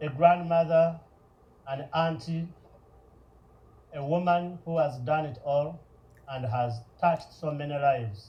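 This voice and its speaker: A somewhat breathy man speaks at a fairly slow pace. The room echo is audible. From Uganda. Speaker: nonprofit founder. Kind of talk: public speech. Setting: stage with audience.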